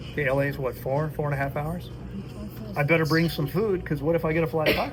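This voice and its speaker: In a room with audible echo and music in the background, a man talks at a very fast pace with a fairly high pitch. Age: 60s. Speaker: fasting and health coach. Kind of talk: casual dinner conversation. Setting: at a dinner table. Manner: animated.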